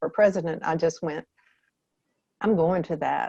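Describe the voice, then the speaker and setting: A Southern US accent with a dark, mellow tone, fairly even intonation and a dry, close sound with no echo. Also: woman. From US South. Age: 70s. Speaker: author. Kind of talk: interview.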